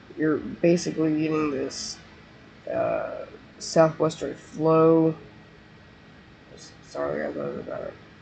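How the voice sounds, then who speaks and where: Noticeable background noise accompanies speech at a very slow pace, broken by long, frequent pauses. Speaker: weather livestreamer. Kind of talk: live weather commentary. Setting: live stream. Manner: hesitant, many fillers.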